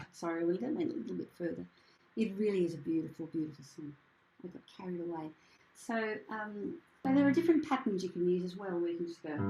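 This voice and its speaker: With an Australian accent, a woman talks very fast at a fairly low pitch, her intonation lively and her loudness swinging widely. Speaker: singing teacher and presenter. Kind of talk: workshop presentation with piano demonstration.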